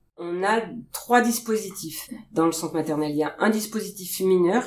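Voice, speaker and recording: Using a plain, everyday voice, a woman talks at a moderate pace with a medium pitch and ordinary pitch variation. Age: 40s. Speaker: pediatric nurse. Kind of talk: interview.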